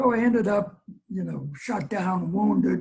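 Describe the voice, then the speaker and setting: Here is a man with an American accent and a high pitch. His tone is dark and mellow, with ordinary pitch variation. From New York (Brooklyn, Long Island). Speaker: war veteran. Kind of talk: interview storytelling. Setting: video call. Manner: halting with fillers.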